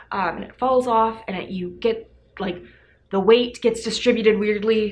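Light background noise sits behind a woman whose intonation is fairly even. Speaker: fitness vlogger. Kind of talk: casual product review vlog. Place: home room. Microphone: camera far.

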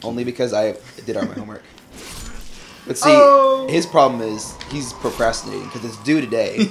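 Through noticeable background noise, a man talks at a fairly quick pace with long, frequent pauses and big swings in loudness. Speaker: co-host of gaming video. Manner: casual, joking.

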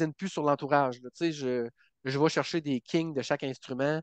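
A man with a fairly high pitch at a fairly quick pace, the sound dry with no echo and the background quiet. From Quebec, Bas-Saint-Laurent; Quebec. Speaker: country singer; podcast guest. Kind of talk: interview. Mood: enthusiastic, friendly. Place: home room. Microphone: headset.

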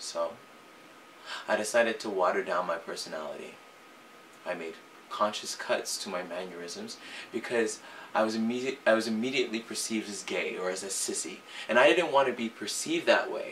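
A man talks at a fairly quick pace with long, frequent pauses and big swings in loudness, over light background noise. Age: young. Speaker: singer. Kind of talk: personal confession to camera. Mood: earnest, reflective, emotional. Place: home room.

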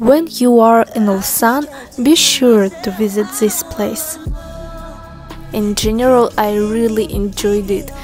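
A woman's fairly high voice with lively intonation at a very slow pace, dry with no echo, with clear music in the background. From Russia. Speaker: travel vlogger. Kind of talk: travel vlog narration. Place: street. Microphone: phone near.

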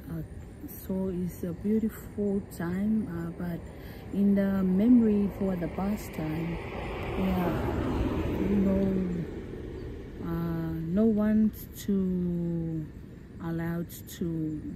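Over noticeable background noise, a woman speaks very slowly with long, frequent pauses and fairly even intonation, the sound dry with no echo. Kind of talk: interview answer. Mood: calm, reflective. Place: waterside. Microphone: phone near.

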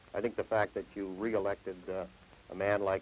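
A western Canadian accent at a moderate pace, with light background noise. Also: man. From Canada, Saskatchewan. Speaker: farm union leader and grain farmer. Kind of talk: TV interview. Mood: earnest, measured. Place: studio. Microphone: lapel.

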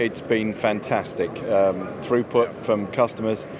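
Clear background noise sits behind a man whose pitch is fairly low.

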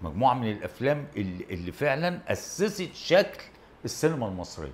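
A man speaks at a moderate pace with vocal fry and very wide pitch swings. Light background noise can be heard. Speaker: talk show guest. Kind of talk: interview answer. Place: studio. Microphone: lapel.

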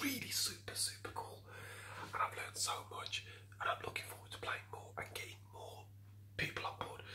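A man is whispering. His pace is moderate. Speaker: gaming streamer. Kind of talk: ASMR food-break talk to camera. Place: kitchen. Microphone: phone near.

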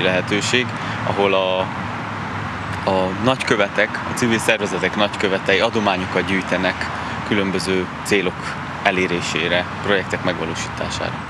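Loud background noise sits behind a man speaking at a moderate pace. The sound is dry, with no echo. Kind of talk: interview answer. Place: garden. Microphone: handheld.

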